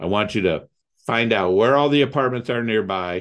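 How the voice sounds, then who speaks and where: A man talks in a Midwestern American accent at a medium pitch. His pace is moderate, with ordinary pitch variation. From Ohio, US Midwest (Toledo). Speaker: real estate investor. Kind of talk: interview.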